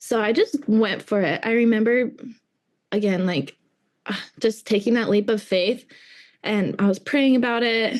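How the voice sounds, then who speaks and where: Long, frequent pauses break up a woman's speech, and her loudness stays very even. Her fairly high pitch has ordinary pitch variation. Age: 20s. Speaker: small business owner. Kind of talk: interview. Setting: podcast. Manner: casual, filler-heavy.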